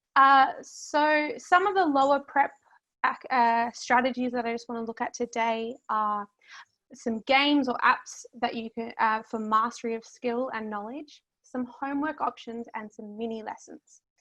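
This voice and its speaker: Her voice is high-pitched, with a bright, sharp tone. The woman's loudness swings widely over a quiet background. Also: ordinary pitch variation, fairly slow pace. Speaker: history teacher. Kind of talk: presentation.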